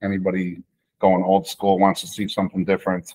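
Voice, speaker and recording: Against a quiet background, a man with a very deep, low pitch and an American accent speaks at a fairly quick pace with fairly even intonation. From Chicago. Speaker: football coach and restaurant owner; football coach. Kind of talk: casual chat. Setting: video call. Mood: relaxed storytelling about concerts. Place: kitchen. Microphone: webcam.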